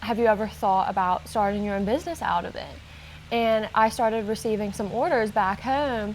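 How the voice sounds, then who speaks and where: Speaking at a moderate pace, a woman with an American accent has a normal speaking voice, a fairly high pitch and ordinary pitch variation. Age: 20s. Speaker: baker, small business owner. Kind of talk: interview answer.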